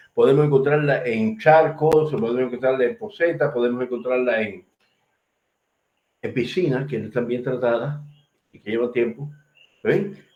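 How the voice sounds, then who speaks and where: A man speaks at a medium pitch with ordinary pitch variation and big swings in loudness. Long, frequent pauses break up his speech amid audible room echo. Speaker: medical lecturer. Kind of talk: lecture. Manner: fast.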